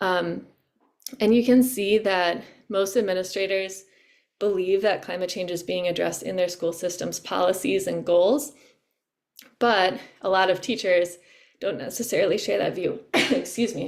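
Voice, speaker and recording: The voice has vocal fry and ordinary pitch variation. It moves at a moderate pace. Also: woman, medium pitch for a woman. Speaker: climate education workshop presenter. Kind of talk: educational webinar presentation. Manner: halting, with fillers.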